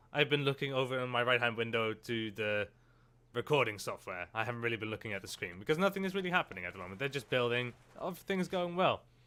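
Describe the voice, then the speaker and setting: A man's medium-pitched voice, bright and sharp, with lively intonation at a very fast pace on a very clean recording with a silent background. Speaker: gaming YouTuber. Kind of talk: let's play commentary. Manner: casual, chatty.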